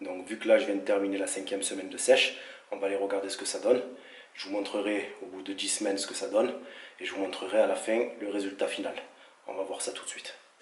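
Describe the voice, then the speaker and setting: A man talks at a very fast pace with long, frequent pauses and big swings in loudness, amid noticeable background noise and audible room echo. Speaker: fitness vlogger. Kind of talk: vlog.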